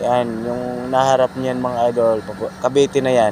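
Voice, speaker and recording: A man with a medium-pitched voice talks at a fairly slow pace over noticeable background noise. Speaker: vlogger. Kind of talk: casual vlog.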